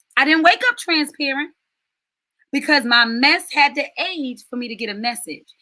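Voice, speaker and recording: Raising and projecting her voice, a woman speaks at a high pitch with a bright, sharp tone and ordinary pitch variation. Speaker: life coach and spiritual mentor. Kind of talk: live stream talk to viewers. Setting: live virtual stream.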